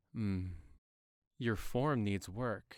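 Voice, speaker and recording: A man speaks in a put-on character voice. His pitch sits at a medium level. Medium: read story. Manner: calm, unhurried.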